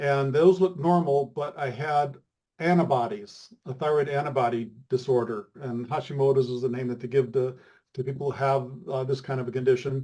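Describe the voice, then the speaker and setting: This man speaks at a moderate pace and medium pitch, his somewhat breathy voice showing ordinary pitch variation. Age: 70s. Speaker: testimonial guest. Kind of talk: testimony. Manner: halting.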